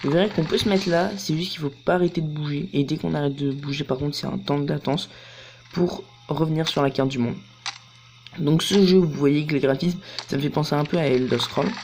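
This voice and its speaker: Long, frequent pauses over noticeable background noise. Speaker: gaming youtuber. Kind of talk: let's play commentary. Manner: casual, hesitant with many fillers.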